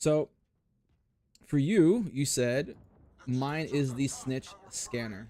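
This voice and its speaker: A man speaks loudly in a dark, mellow tone. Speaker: gaming streamer. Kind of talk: casual live stream chat while gaming.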